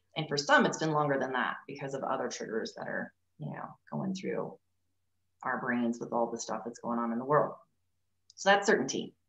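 A woman with a very deep, low voice and lively intonation speaks at a moderate pace, taking long, frequent pauses amid audible room echo. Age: 40s. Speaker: leadership coach. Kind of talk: casual interview chat. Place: home room. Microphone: video call.

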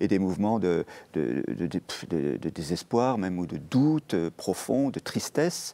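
A man's dark, mellow voice with very wide pitch swings. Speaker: Jesuit priest. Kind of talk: TV interview. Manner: halting. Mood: calm, thoughtful explanation. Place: studio. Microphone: lapel.

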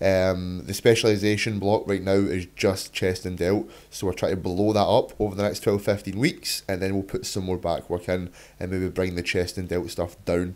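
In a Scottish accent, a man with a fairly low pitch speaks at a moderate pace. The recording is very clean, with a silent background. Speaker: fitness YouTuber and online coach. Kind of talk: vlog voiceover tutorial. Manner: casual, swears freely.

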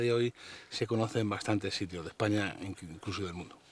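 With ordinary pitch variation, the man has an unremarkable speaking voice. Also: dry sound with no echo. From Spain. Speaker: social media nature blogger. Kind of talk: interview. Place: forest. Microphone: lapel.

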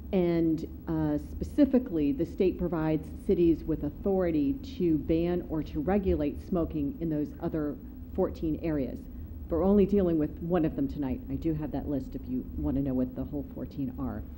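A woman at a moderate pace, with light background noise. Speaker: city attorney. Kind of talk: formal staff report to council. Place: meeting room.

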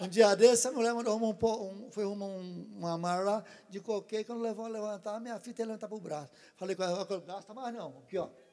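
A man's high voice at a very fast pace, with fairly even intonation and big swings in loudness. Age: 60s. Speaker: churchgoer giving a healing testimony; audience member. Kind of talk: testimony. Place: stage. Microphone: handheld.

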